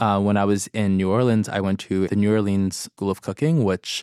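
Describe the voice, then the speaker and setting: Speaking with an American accent, a man talks at a moderate pace and a fairly low pitch, with fairly even intonation. The recording is very clean, dry and close, with no echo and a silent background. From New York City, Brooklyn. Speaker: recipe developer and food content creator. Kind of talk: casual interview chat.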